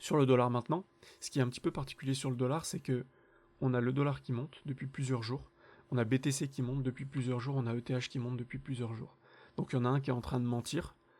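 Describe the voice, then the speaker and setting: The speech runs at a very fast pace with fairly even intonation. The recording is very clean, with a silent background. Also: man, medium pitch for a man. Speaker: crypto trading analyst, channel host. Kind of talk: market analysis tutorial.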